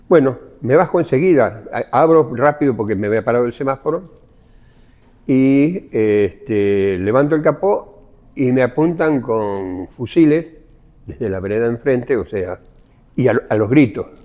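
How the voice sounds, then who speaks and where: With lively intonation, a man speaks at a medium pitch in a dark, mellow tone. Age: 70s. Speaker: former blacksmith, witness. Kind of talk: testimony.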